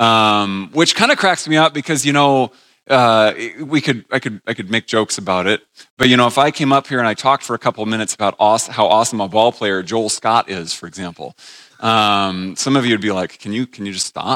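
A man with an American accent, a bright, sharp tone, ordinary pitch variation and a fairly quick pace. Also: medium pitch for a man, dry, close sound with no echo. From New England, north of Boston. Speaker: church elder and Bible teacher. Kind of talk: teaching session. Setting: stage with audience. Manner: casual, conversational.

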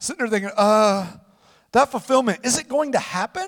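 A man is speaking. His intonation is lively. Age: 40s. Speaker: pastor. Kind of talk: sermon.

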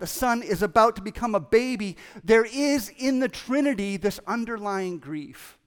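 The voice reads aloud plainly. Its pitch varies in an ordinary way.

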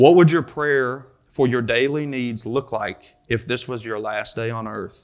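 A man with a Kentucky accent talks at a fairly slow pace with hardly any pauses, at medium pitch with ordinary pitch variation. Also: quiet background. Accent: Kentucky Southern US. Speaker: preacher. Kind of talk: sermon. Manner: halting, frequent repetitions and fillers.

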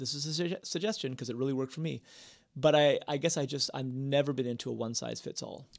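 This man talks at a very fast pace, his fairly high pitch moving with ordinary variation. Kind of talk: casual chat. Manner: chatty, laughs often.

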